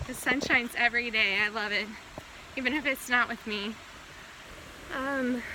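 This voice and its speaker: Over noticeable background noise, a woman with a high pitch speaks with fairly even intonation and long, frequent pauses. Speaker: medical student and cancer patient vlogger. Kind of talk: casual vlog while walking. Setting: outdoors, hiking by a creek. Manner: halting, faltering speech; slow, with many pauses.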